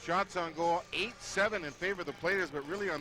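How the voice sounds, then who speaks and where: A man with a high pitch, ordinary pitch variation and a fairly quick pace, with noticeable background noise. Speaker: play-by-play hockey announcer. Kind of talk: live sports play-by-play commentary. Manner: fast, rapid-fire call.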